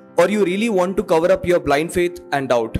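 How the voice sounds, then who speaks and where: Faint music plays in the background. A man speaks at a high pitch and moderate pace with lively intonation. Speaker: spoken word poet. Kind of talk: spoken word poetry performance. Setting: live open mic, audience. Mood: earnest, reflective. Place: stage. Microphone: handheld.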